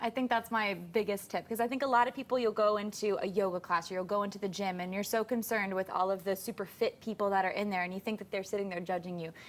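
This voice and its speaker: The speaker talks very fast with an American accent. The intonation stays fairly even. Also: woman. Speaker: fitness and nutrition assistant. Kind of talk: casual chat.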